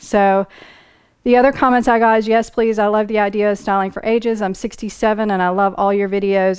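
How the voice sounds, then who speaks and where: A woman speaks at a fairly quick pace and medium pitch. Hers is an unremarkable speaking voice. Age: 40s. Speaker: style vlogger. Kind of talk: Q&A video, reading viewer comments.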